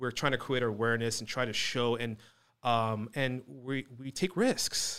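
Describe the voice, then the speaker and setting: At a fairly slow pace, a man with an American accent speaks in a medium pitch with ordinary pitch variation, on a very clean recording with a silent background. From US West Coast, Orange County. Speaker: podcast host, electronic components business. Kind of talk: casual interview chat.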